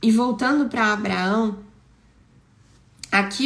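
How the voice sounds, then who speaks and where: In a room with audible echo, a woman with a fairly high pitch speaks fairly slowly in an animated tone, with ordinary pitch variation. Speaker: preacher. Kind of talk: sermon. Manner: conversational.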